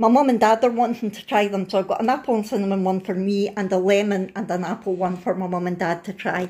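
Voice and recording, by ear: At a fairly quick pace, a woman talks at medium pitch with a slightly mellow tone.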